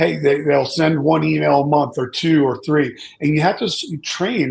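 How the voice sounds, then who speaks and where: Fairly high, somewhat breathy male voice, moderately paced. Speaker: data security consultant. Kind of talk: panel discussion. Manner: halting, repeats words.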